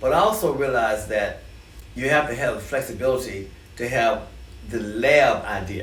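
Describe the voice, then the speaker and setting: With audible room echo and noticeable background noise, a man speaks at a moderate pace. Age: 70s. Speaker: musician and music educator. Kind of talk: interview. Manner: conversational.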